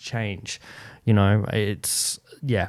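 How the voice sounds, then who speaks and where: Speaking with an Australian accent, a man comes through clearly. The recording is very clean, with a silent background. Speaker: podcast host. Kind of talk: casual chat. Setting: home studio. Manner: loud.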